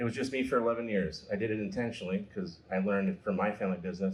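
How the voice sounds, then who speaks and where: Someone with a Minnesota accent talks at a very fast pace with ordinary pitch variation. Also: man. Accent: Upper Midwest (Minnesota). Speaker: repair shop owner and activist. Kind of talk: panel talk to live audience.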